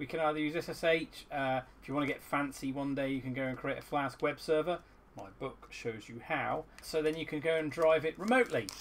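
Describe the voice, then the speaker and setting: Over light background noise, a man talks at a fairly quick pace with hardly any pauses and ordinary pitch variation. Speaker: maker demonstrating a project. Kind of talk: tutorial. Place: workshop.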